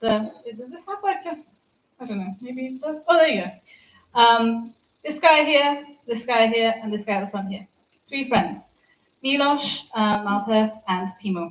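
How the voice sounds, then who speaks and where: Speaking in an English accent, a woman goes at a fairly slow pace with lively intonation. Her loudness swings widely. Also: fairly high pitch for a woman. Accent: English-sounding (half English). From Turkey (Istanbul), half English. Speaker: developer advocate. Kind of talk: conference talk. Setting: stage with audience.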